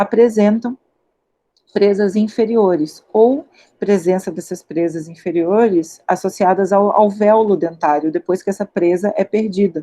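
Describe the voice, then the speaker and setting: A woman speaks at a fairly slow pace in a medium pitch. Her tone is dark and mellow, with ordinary pitch variation. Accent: Carioca. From Rio de Janeiro, Brazil. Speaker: paleontologist, postdoctoral researcher. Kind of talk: lecture. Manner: hesitant fillers.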